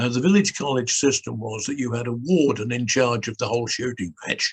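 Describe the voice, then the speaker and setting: Somewhat breathy and medium-pitched, a man with a British accent is heard in a dry, close sound with no echo. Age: 80s+. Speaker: clergyman and former TV presenter. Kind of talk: interview answer. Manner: lively, animated storytelling.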